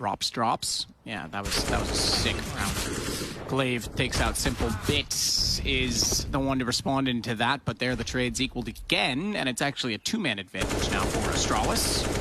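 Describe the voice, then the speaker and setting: A man with a medium-pitched voice talks with hardly any pauses and ordinary pitch variation. Noticeable background noise runs under him. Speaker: esports commentator. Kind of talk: live commentary. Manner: fast; animated.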